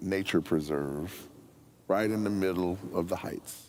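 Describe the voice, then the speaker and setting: A man talks with an American accent and ordinary pitch variation. Audible room echo surrounds his voice. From US, near a National Forest. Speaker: senior pastor candidate. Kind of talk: Q&A forum answer. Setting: church forum with live audience. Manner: loud; animated.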